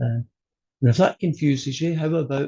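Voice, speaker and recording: With a Scottish accent, a man talks at a fairly high pitch in a dark, mellow, somewhat breathy tone. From Scotland. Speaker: college math instructor. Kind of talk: online class lecture. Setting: video call.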